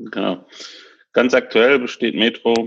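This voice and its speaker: Delivery is very slow. The intonation remains fairly even throughout. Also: man. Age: 30s. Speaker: tech company executive. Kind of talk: interview.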